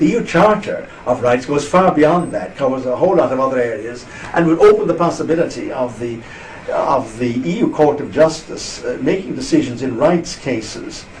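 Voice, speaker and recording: A man with an Irish accent speaks at a moderate pace in a fairly high voice, his intonation lively, with noticeable background noise and audible room echo. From Ireland. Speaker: interviewee on EU politics. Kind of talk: interview.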